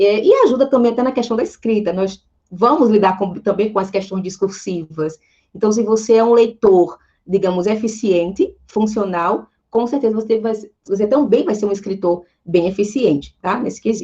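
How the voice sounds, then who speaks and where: This woman's voice has a dark, mellow tone at a fairly high pitch, moving at a moderate pace with ordinary pitch variation. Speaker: Portuguese language teacher. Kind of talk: online lecture.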